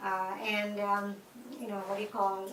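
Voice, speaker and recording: A woman with an Indian accent speaks amid noticeable background noise and audible room echo. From India, Mumbai. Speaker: interviewee. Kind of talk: interview.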